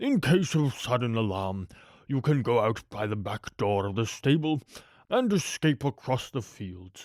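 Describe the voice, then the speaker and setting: At a moderate pace, a man puts on a character voice with a medium pitch. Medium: read story. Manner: polite, formal, gracious.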